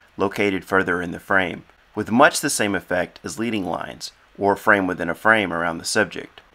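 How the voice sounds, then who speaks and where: Talking at a fairly quick pace, a man with an unremarkable speaking voice sits at a fairly low pitch. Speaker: photographer and author. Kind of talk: audiobook-style instructional reading.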